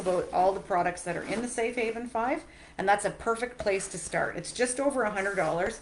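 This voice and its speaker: A woman speaks at a very fast pace with ordinary pitch variation against noticeable background noise. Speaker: direct sales consultant. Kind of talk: live product demo. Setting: live video stream.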